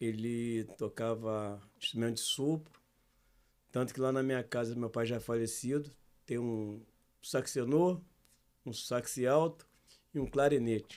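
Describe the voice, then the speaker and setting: A man at medium pitch and a fairly slow pace, with fairly even intonation and long, frequent pauses. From Brazil, Rio de Janeiro (Jardim Botânico). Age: 60s. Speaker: samba singer and songwriter. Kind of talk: casual interview chat.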